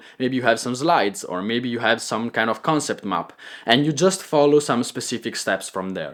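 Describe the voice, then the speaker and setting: A man speaks with a slight Italian accent. His intonation is lively. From Italy. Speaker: content creator and coach. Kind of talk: tutorial. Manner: clear pronunciation; improvised, with filler words.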